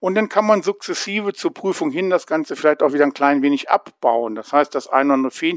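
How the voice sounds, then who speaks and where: Very fast and lively, a man speaks at a fairly high pitch, the sound dry and close with no echo. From Hanover, northern Germany. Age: 50s. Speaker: adult education lecturer. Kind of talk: interview.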